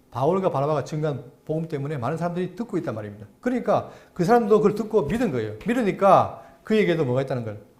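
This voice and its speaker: Over audible room echo, a man talks at a very fast pace in a fairly high pitch, with very wide pitch swings. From South Korea, Andong (Gyeongsang). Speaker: pastor. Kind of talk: Bible lecture. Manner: halting, stammering repeats.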